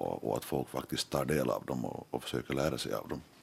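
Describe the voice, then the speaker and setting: His very deep, low voice carries vocal fry as this man talks at a moderate pace with fairly even intonation. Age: 30s. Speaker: journalist and editor-in-chief. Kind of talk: radio panel discussion. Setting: studio. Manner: halting, many repeated words.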